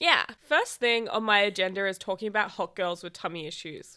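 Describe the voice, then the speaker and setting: A woman talks at a fairly slow pace in an animated, bright, sharp tone. The recording is very clean, with a silent background. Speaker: podcast host. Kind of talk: casual chat.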